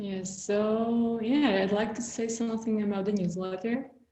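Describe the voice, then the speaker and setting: Very slow speech from a woman with a Slovak accent, fairly high in pitch with fairly even intonation, and audible room echo. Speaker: visual artist and writer. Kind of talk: casual conversation interview.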